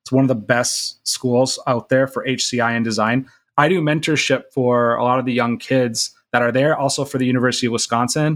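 A man talks at a fairly quick pace in a plain, everyday voice of medium pitch with fairly even intonation. The recording is very clean with a silent background. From US Midwest, Minnesota. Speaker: startup CEO. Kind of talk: casual interview chat.

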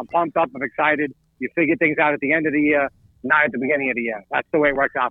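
This man speaks very fast with an American accent. His pitch is fairly high. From New York. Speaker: sports podcast co-host. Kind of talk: casual chat.

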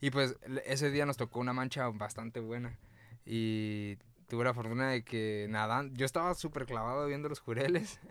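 A plain, everyday voice, this man speaks at medium pitch and a moderate pace with ordinary pitch variation. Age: 20s. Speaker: snorkel guide. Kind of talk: casual chat. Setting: in a van.

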